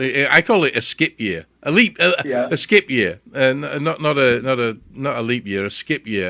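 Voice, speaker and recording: A man with a British accent speaks at medium pitch, with a bright, sharp tone and vocal fry. The recording is very clean, with a silent background. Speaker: radio show host. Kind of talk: radio interview, casual host talk.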